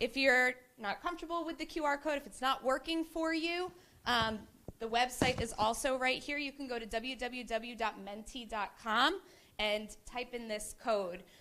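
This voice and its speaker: A woman speaks loudly at a high pitch. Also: ordinary pitch variation, moderate pace. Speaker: committee member presenting at a business forum. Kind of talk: interactive workshop presentation.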